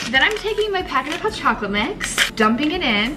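With noticeable background noise behind her, a woman talks at a fairly quick pace. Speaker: vlogger. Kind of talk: casual vlog chat. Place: kitchen. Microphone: phone near.

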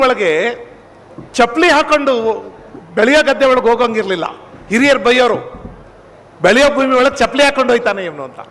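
Through noticeable background noise, a man speaks in an extremely high pitch with ordinary pitch variation. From Mandya district, Karnataka, India. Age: 60s. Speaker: professor and public orator. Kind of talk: public speech. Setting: stage with audience.

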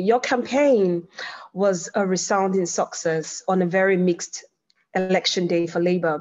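A woman with a normal speaking voice talks at a fairly slow pace, her medium pitch held in fairly even intonation. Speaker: local councillor and event chair. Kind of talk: moderating an online discussion. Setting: video call.

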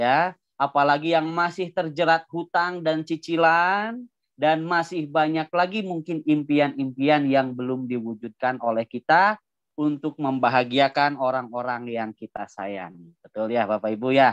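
In a quiet setting with a dry sound and no echo, a man speaks at a fairly slow pace in a fairly high voice with lively intonation. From Indonesia, Bandung; Indonesia. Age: 30s. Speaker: business seminar presenter; presenter. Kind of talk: sales pitch. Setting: video call. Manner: animated. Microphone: video call.

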